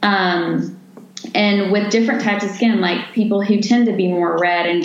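Over noticeable background noise and audible room echo, a woman speaks at a moderate pace and medium pitch with fairly even intonation. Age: 30s. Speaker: nurse injector. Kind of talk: podcast interview, explaining cosmetic treatments.

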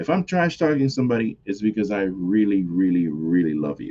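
With an American accent, a man speaks in an animated tone with lively intonation. The background is quiet. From New York, the Bronx. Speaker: wrestling podcast host. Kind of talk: solo podcast commentary. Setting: home recording at computer.

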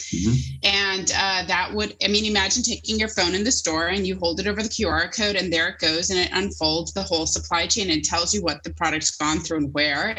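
A woman with a North American accent, fairly low pitch, ordinary pitch variation and a fairly quick pace, amid noticeable background noise. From United States. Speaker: apparel brand founder. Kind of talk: podcast interview.

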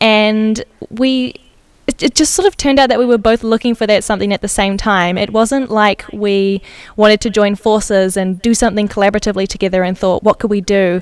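Speaking in a New Zealand accent, a woman with a fairly high pitch talks at a fairly quick pace with fairly even intonation. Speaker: designer and podcaster. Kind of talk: casual interview chat. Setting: remote recording from Amsterdam.

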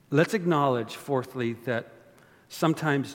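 A man with a Canadian accent talks at a moderate pace. His pitch is medium, with ordinary variation. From Canada. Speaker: pastor. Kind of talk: sermon. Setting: church. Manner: animated.

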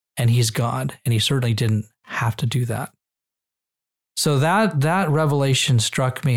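In a very clean recording with a silent background, a man with a somewhat breathy voice speaks at a moderate pace with ordinary pitch variation. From Israel. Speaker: pastor. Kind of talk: podcast conversation. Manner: halting.

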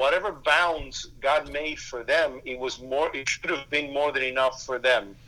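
A man talks at a fairly slow pace in a Spanish accent, with fairly even intonation. His voice is fairly high-pitched, with a bright, sharp tone. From Cuba. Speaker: pastor. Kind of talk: interview.

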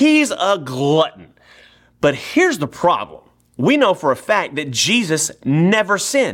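With a Texan accent, a man talks at a fairly slow pace in an animated tone, his high pitch making very wide swings. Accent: Texan American. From East Texas. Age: 30s. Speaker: pastor. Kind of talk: sermon.

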